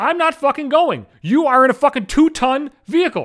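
The tone is animated. It is a very clean recording with a silent background. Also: man. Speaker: podcaster. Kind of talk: casual comedic rant, profane. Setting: home recording, solo. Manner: loud, projecting; profane, animated.

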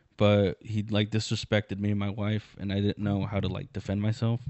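A man with a fairly low pitch talks at a fairly quick pace. His intonation is monotone and flat. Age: 20s. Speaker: comedian and podcast host. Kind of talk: casual chat.

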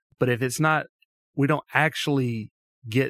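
A man with an Alabama accent talks at a moderate pace with ordinary pitch variation, in a dry, close sound with no echo. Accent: Southern US (Alabama). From US South (Tuscaloosa, Alabama). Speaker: mission organization president. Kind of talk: interview conversation. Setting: studio.

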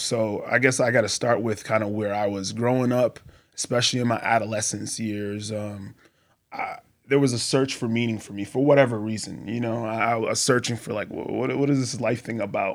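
A man with an American accent speaks in an unremarkable speaking voice at medium pitch, keeping a moderate pace and fairly even intonation. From Boston, Massachusetts. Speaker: army veteran and former cult member. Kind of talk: testimony. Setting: studio.

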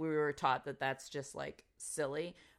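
On a very clean recording with a silent background, a woman speaks at a fairly slow pace with an American accent. Her pitch is very deep and low, her tone bright and sharp. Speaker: podcast co-host. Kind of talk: casual chat. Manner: animated.

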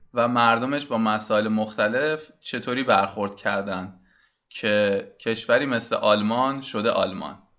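Very slowly and with fairly even intonation, a man speaks at a medium pitch in a bright, sharp tone against a quiet background. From Iran. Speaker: podcast host. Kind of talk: solo podcast introduction.

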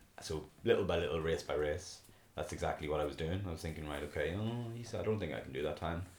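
With a Northern Irish accent, a man talks at a very fast pace in a very deep, low, somewhat breathy voice. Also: ordinary pitch variation. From Belfast, Northern Ireland. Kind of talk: casual interview chat.

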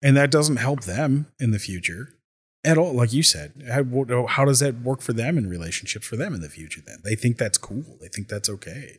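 A man speaks at a moderate pace in a medium, somewhat breathy voice with lively intonation and big swings in loudness. The recording is very clean, the background silent. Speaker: podcaster. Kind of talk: casual chat. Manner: relaxed, conversational.

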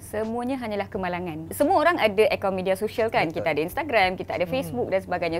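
A woman at a medium pitch talks very fast, her pitch swinging very widely, with noticeable background noise. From Malaysia, Malaysian Indian. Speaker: emergency doctor and social media influencer. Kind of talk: interview.

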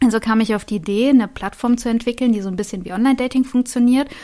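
A plain, everyday voice, its pitch varying in an ordinary way. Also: woman. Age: 30s. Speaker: vocational school teacher and startup founder. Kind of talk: interview.

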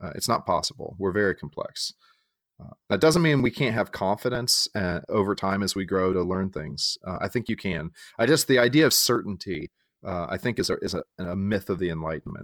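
A man's normal speaking voice, fairly low in pitch, fairly quick, with lively intonation, in a dry, close sound with no echo on a very clean recording with a silent background. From San Diego, California (born in Texas). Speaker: pastor. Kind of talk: casual chat.

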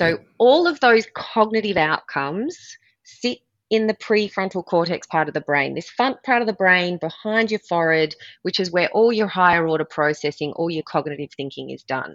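A woman speaks in an Australian accent with lively intonation. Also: medium pitch for a woman, moderate pace. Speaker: performance coach and former triathlete. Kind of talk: podcast interview.

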